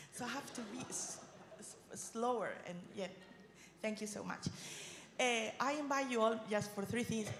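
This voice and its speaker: A woman with a Spanish accent speaks at a fairly high pitch, leaving long, frequent pauses. There is audible room echo and noticeable background noise. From southeast Spain (Murcia region). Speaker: regional politician. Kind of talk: conference speech. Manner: fast; animated.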